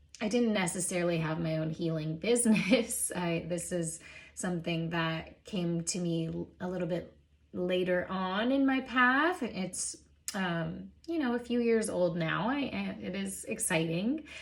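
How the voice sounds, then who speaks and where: A soft-spoken woman talks at a fairly slow pace. Her voice is somewhat breathy, with lively intonation. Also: medium pitch for a woman. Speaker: Reiki practitioner. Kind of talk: oracle card reading talk.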